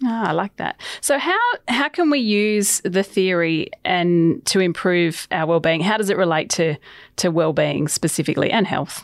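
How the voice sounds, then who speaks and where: With noticeable background noise behind her, a woman speaks in an upbeat tone at a medium pitch and moderate pace, her intonation lively and her loudness very even. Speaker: podcast host. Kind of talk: interview.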